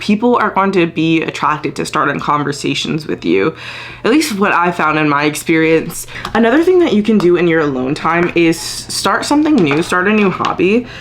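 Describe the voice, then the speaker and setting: With noticeable background noise behind her, a woman speaks at a fairly low pitch and a moderate pace, her intonation lively and her loudness very even. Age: 20s. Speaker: lifestyle vlogger. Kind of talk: casual talk to camera.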